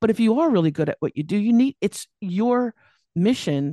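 A woman with a Californian accent speaks at a fairly quick pace with lively intonation and a dark, mellow tone. The sound is dry and close with no echo, over a quiet background. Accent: Californian American. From US, Los Angeles, California. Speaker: business coach. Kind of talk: interview.

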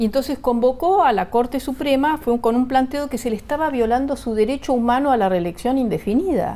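A woman talks at a fairly quick pace with hardly any pauses. Her high pitch comes in a dark, mellow tone with ordinary pitch variation. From Argentina, arrived from Bolivia at age four. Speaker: political analyst. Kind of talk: TV interview.

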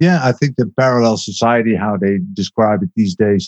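A man with a Dutch accent and a medium pitch speaks at a moderate pace. The intonation is lively, and the sound is dry and close with no echo. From Netherlands, agricultural region. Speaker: documentary maker. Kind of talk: interview. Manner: halting.

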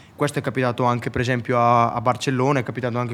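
The man speaks at a very fast pace. His medium pitch stays monotone, with flat intonation. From Italy. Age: young. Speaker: motorcycle racer. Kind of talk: casual interview.

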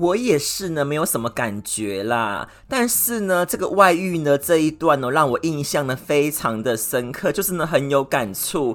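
A man with a fairly high pitch speaks at a fairly slow pace with hardly any pauses. His tone is animated, and his pitch swings very widely. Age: 40s. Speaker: podcast host. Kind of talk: solo monologue. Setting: indoors with air conditioning.

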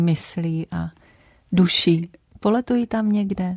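Against a quiet background with a dry, close sound and no echo, a woman speaks fairly slowly in a medium-pitched, somewhat breathy, dark and mellow voice with ordinary pitch variation. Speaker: radio host. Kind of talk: radio interview. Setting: studio. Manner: formal.

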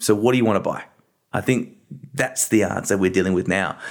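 A man at a medium pitch, with an Australian accent. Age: 30s. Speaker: creative agency co-founder. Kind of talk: interview.

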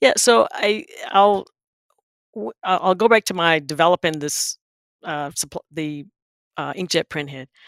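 A woman's fairly low voice with a Southern US accent, ordinary pitch variation, big swings in loudness and long, frequent pauses, in a dry, close sound with no echo. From eastern North Carolina, Wilson. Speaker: corporate executive. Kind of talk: interview.

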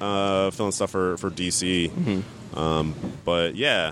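A man speaks with an American accent and a fairly low pitch. Background noise is noticeable. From Massachusetts, US. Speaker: comic book editor and writer. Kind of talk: casual interview. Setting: comic convention.

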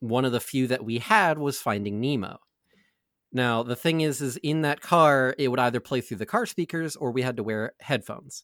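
In a very clean recording with a silent background and a dry, close sound with no echo, a man has an unremarkable speaking voice, speaking at a medium pitch and moderate pace with ordinary pitch variation. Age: 20s. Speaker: podcaster, tabletop gaming show cast member. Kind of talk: casual chat.

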